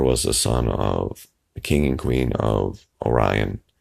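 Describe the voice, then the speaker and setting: Vocal fry in a man's very deep, low voice, its pitch varying in an ordinary way. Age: old. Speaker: YouTuber discussing conspiracy theories. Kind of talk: casual vlog monologue. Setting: apartment, early morning. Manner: halting, many fillers.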